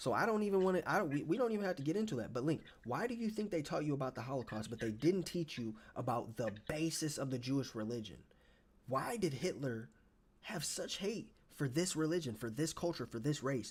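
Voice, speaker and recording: Speaking at a fairly quick pace, a man with a fairly high pitch sounds somewhat breathy and makes very wide pitch swings. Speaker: live streamer. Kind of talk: heated debate. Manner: fast; animated.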